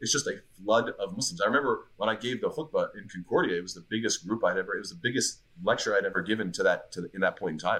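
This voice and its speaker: A man at a very fast pace, hardly any pauses, and big swings in loudness. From Montreal, Quebec. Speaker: imam. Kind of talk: casual chat.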